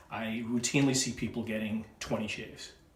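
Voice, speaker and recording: Speaking at a moderate pace with a Boston accent, a man keeps his medium-pitched voice fairly even in intonation, and audible room echo surrounds him. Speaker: wet shaving video creator. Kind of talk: shaving tutorial with casual chat. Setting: at home, wife filming.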